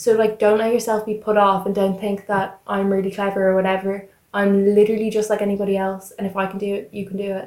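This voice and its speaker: The delivery is very fast and monotone, with flat intonation and hardly any pauses. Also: woman, medium pitch for a woman. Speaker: recent school leaver. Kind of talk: casual chat.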